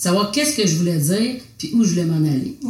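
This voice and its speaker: Noticeable background noise and audible room echo surround a woman speaking at a medium pitch with lively intonation. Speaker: visual artist, printmaker. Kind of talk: casual conversation.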